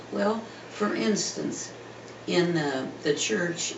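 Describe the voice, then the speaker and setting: Speaking very slowly with an American accent, a man uses a high pitch and lively intonation. Audible room echo and noticeable background noise accompany him. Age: 90s. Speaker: parishioner. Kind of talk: oral history interview. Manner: halting.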